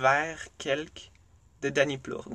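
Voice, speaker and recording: Fairly high-pitched and bright, sharp in tone, a man speaks with a Quebec accent. The background is quiet. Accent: Québécois French. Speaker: podcast host. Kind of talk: solo monologue. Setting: recording in a closet.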